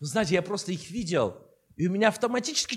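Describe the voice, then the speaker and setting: A man with an Armenian accent speaks with lively intonation. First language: Armenian (speaking Russian). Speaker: bishop. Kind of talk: sermon. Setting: church.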